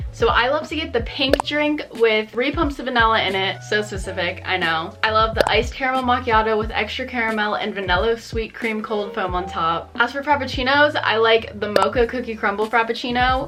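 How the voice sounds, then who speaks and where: With music in the background, a woman with an American accent talks at a fairly quick pace with hardly any pauses, her fairly high pitch showing ordinary variation. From Maryland, US. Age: 20s. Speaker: vlogger. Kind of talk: casual Q&A vlog. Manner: casual, filler-heavy.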